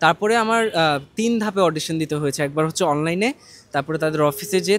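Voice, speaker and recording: Recorded in a dry, close sound with no echo, a man speaks in an unremarkable speaking voice at a fairly high pitch with ordinary pitch variation. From Bangladesh. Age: young. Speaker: voice actor. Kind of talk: interview answer.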